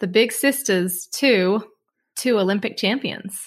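A woman with an Australian accent speaks at a medium pitch and a fairly slow pace. The recording is very clean, with a silent background. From Australia (Snowy Mountains). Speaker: podcast host, former ski racer. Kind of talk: casual chat.

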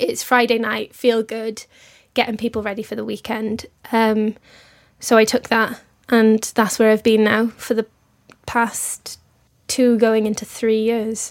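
Music plays in the background as a woman with a Welsh accent speaks at a fairly high pitch and a fairly slow pace. Her intonation is monotone and flat, with long, frequent pauses. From Wales. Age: 20s. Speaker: radio presenter. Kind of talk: interview.

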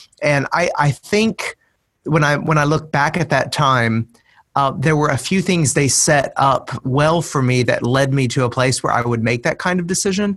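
A man with an American accent talks at a moderate pace in a fairly high voice with ordinary pitch variation and very even loudness. It is a normal speaking voice on a very clean recording with a silent background. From US, Middle Tennessee. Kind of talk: interview.

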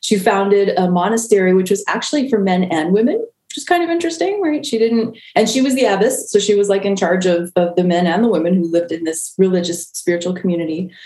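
A woman with an American accent at a medium pitch, very fast pace and lively intonation, with hardly any pauses. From US Mid-Atlantic, Maryland (near Baltimore). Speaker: spiritual director and Reiki healer. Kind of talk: casual interview conversation.

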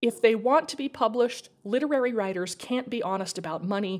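Here a woman with an American accent speaks in a normal speaking voice, fairly high in pitch and fairly quick in pace. Her pitch variation is ordinary, and the recording is very clean with a silent background. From Idaho. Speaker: podcast host and fiction writer. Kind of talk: casual interview chat; scripted narration.

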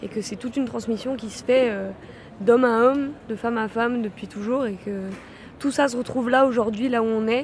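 Noticeable background noise sits under fairly even intonation delivered at a fairly quick pace. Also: woman, fairly high pitch for a woman. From France (Lyon). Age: 20s. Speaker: dance workshop participant. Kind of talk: interview.

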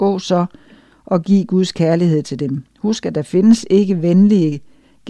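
An unforced reading voice with ordinary pitch variation

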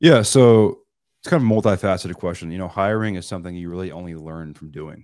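A man with an American accent at a very fast pace, fairly even intonation, very clean recording with a silent background. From Seattle. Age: 20s. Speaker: real estate investor. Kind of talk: casual chat.

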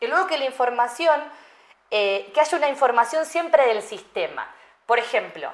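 This woman's pitch swings very widely as she talks at a moderate pace. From Argentina. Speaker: UX/UI designer and psychologist. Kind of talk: interview.

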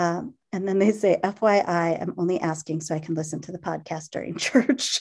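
With an ordinary speaking voice, a woman speaks at a fairly low pitch and a moderate pace, using ordinary pitch variation and hardly any pauses. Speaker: podcast host. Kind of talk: casual chat.

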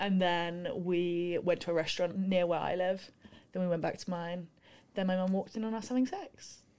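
With a London accent, a woman speaks at a moderate pace. Her pitch is medium and her intonation fairly even. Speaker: university student and rower. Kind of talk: casual chat.

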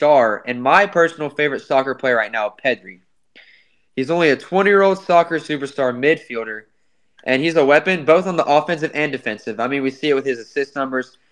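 The speaker has a plain, everyday voice in an American accent. The pace is fairly quick, with ordinary pitch variation. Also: man. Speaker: sports podcast host. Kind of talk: casual sports chat.

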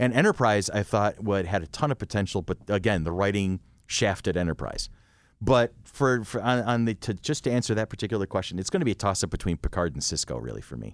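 A man's fairly low voice with vocal fry and lively intonation at a very fast pace, on a very clean recording with a silent background and a dry, close sound with no echo. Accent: American. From Rochester, New York. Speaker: podcast host. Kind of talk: casual chat.

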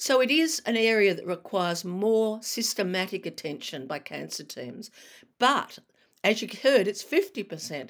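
In an Australian accent, a woman with vocal fry talks at a medium pitch and a moderate pace, with very wide pitch swings and big swings in loudness. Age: 60s. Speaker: retired broadcaster and cancer patient advocate. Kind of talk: interview. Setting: remote call.

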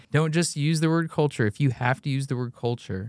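A man with an American accent at a moderate pace, intonation fairly even, on a very clean recording with a silent background. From US Midwest. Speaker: podcast co-host. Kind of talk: casual chat.

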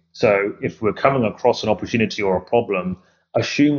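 In an English accent, the man gets through his words at a fairly quick pace. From UK. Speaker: AI company founder. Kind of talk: interview.

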